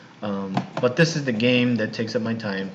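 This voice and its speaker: A man speaks at a medium pitch with an American accent and ordinary pitch variation. Noticeable background noise and audible room echo run through the recording. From US West Coast, Los Angeles. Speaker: university English teacher. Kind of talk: recorded online class introduction. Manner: casual, hesitant with fillers; slow, simple speech for learners.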